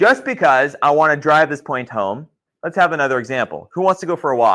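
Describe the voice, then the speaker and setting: A loud voice with a bright, sharp tone moves at a fairly quick pace. Its intonation is lively, on a very clean recording with a silent background. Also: man, fairly high pitch for a man. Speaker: geology instructor. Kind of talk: lecture.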